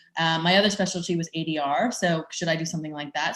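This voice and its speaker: Against a quiet background, a somewhat breathy woman with an American accent talks at a very fast pace. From US Midwest, Chicago. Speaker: tech startup founder. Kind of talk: conference presentation. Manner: hesitant with many fillers.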